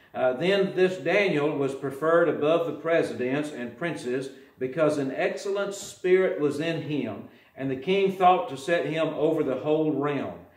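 Audible room echo surrounds the voice. A man speaks with ordinary pitch variation. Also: moderate pace. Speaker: preacher. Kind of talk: sermon. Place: church. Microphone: podium.

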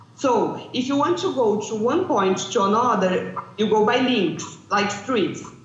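In a room with audible echo, a woman with a Portuguese accent speaks at a fairly slow pace with lively intonation and very even loudness. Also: fairly high pitch for a woman. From Brazil. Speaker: landscape planning researcher; remote conference presenter. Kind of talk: conference presentation. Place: hall. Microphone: video call.

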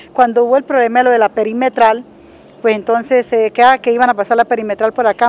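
Dry, echo-free audio carries a woman's high voice. She speaks very fast in a monotone, flat way. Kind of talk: interview answer. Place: street. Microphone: handheld.

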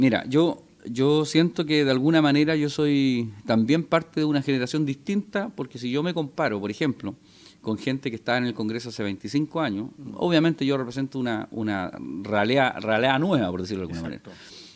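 A man talks at a fairly quick pace, his intonation lively and his loudness swinging widely. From Chile, Concepción; Chile. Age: 40s. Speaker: politician. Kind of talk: interview. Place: cafe. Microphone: studio mic.

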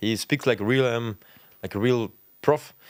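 Recorded with a quiet background and a dry sound with no echo, a man speaks. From Germany, Potsdam; Germany. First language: German (speaking Dutch). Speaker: professional footballer; guest. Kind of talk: casual chat. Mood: relaxed storytelling. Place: studio. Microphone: studio mic.

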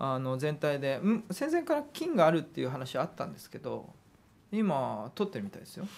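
Big swings in loudness mark a man's fairly quick speech. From Hokkaido, Japan. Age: 30s. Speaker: politician. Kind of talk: interview. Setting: studio. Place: studio. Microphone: studio mic.

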